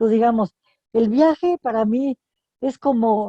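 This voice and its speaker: Her voice is fairly high for a woman, with a dark, mellow tone and lively intonation at a fairly slow pace. The sound is dry and close, with no echo. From Mexico. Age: 90s. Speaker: writer. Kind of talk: interview. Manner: halting, with false starts.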